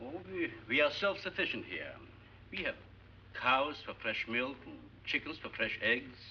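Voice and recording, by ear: A man puts on a character voice with big pitch swings and a bright, sharp tone. His pitch is medium and his pace moderate.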